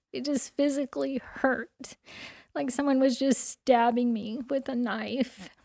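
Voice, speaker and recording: In a Texan accent, a woman speaks fairly slowly at a high pitch with fairly even intonation, on a very clean recording with a silent background. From US South, southeast Texas. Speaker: church member, mother. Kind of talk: testimony.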